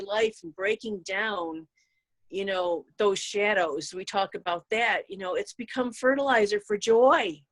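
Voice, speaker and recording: With a plain, everyday voice, a woman speaks fairly slowly at a fairly high pitch with ordinary pitch variation, the sound dry and close with no echo. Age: 60s. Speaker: rune practitioner and guest. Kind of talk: casual spiritual conversation.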